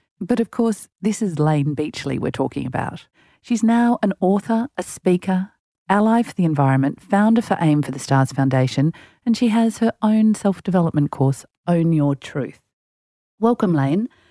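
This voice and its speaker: On a very clean recording with a silent background and dry, close sound with no echo, a woman with an Australian accent speaks in a dark, mellow tone with very wide pitch swings. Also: medium pitch for a woman, moderate pace. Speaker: podcast host and executive coach. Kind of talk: interview. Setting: studio.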